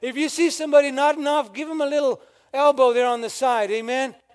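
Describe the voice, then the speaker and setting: A man talks at a fairly quick clip in an extremely high voice with an animated tone and ordinary pitch variation. Noticeable background noise runs underneath. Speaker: preacher. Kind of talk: sermon. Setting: church. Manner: preacher in full flow, rhetorical call-and-response, urging the congregation to say amen; animated, fervent, building by repetition and rhetorical questions.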